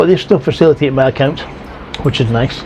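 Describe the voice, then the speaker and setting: A man in a Scottish accent, fairly high-pitched and very fast, over noticeable background noise. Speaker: retiree vlogger. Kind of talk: casual vlog talk. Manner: careful, toned-down speech; halting, many fillers.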